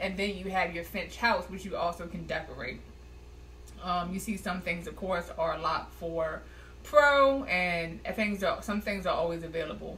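A woman talks at a moderate pace, with light background noise behind her. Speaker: app reviewer. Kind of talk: tutorial. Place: home room. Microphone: webcam.

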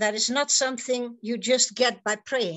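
A woman with a Dutch accent speaks in a fairly high pitch against a quiet background. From Netherlands. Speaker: psychotherapist; conference speaker. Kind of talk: conference talk. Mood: earnest, urging. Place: home room. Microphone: webcam.

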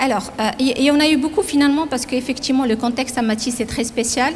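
A high-pitched woman's voice with ordinary pitch variation, over light background noise. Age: 40s. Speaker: company president. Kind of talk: interview; interview answer. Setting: factory. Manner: halting. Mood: calm, reflective. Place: factory. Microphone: handheld.

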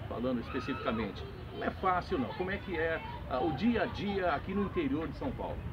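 A man at a moderate pace, over noticeable background noise. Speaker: sports announcer and interviewer. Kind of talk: interview questions, sports interview. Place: stadium.

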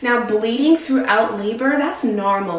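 The woman's pitch varies in an ordinary way, and audible room echo hangs around her voice. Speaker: birth educator or doula. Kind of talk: educational talk to camera. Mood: warm, reassuring. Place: bathroom.

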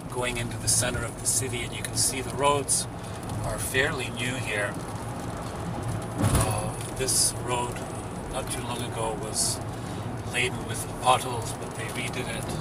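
A man speaks at a fairly slow pace. Loud background noise fills the dry recording, which has no echo. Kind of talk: casual travel vlog commentary. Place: car. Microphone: phone near.

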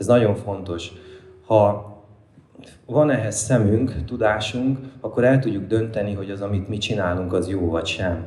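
Audible room echo surrounds a man with a fairly low pitch. He leaves long, frequent pauses. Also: ordinary pitch variation, fairly slow pace. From Hungary, Somogy county (Kaposvár); Hungary. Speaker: hobby poultry keeper and orchard owner; lecturer on poultry keeping. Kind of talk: lecture with audience Q&A. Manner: halting, with frequent repetitions. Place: hall. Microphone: handheld.

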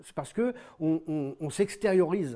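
A man's dark, mellow voice, fairly high in pitch, with lively intonation, a fairly slow pace and a quiet background. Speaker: novelist. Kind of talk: interview. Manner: halting. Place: home room. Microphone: lapel.

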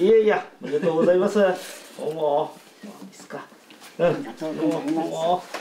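A man speaks at a moderate pace in a high pitch with ordinary pitch variation and big swings in loudness. Light background noise and audible room echo are present. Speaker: city mayor. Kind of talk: formal congratulatory address. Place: home room.

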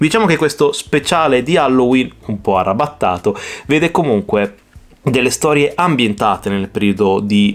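This man talks at a moderate pace, his pitch swinging very widely. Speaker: comic book reviewer. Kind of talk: casual vlog review. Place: home room.

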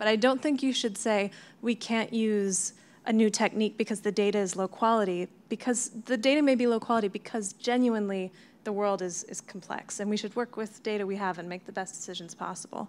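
Fairly quick, a woman speaks at a fairly high pitch with fairly even intonation. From United States. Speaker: cloud customer engineer, data scientist; panelist. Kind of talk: panel discussion. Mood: calm, thoughtful. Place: meeting room. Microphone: handheld.

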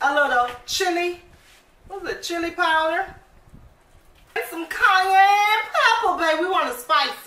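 A woman's raised, projected voice carries audible room echo over light background noise. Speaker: home cook vlogger. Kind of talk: casual cooking tutorial chat. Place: kitchen. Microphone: phone near.

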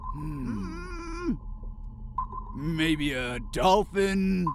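A man performs a put-on character voice. Clear background noise can be heard. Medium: dub. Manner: hesitant.

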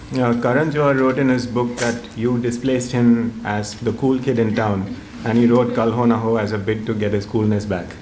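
A man talks at a moderate pace in a monotone, flat delivery. Light background noise sits behind him. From India. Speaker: author and journalist, moderator. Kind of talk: onstage interview. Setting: stage with audience. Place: hall. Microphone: podium.

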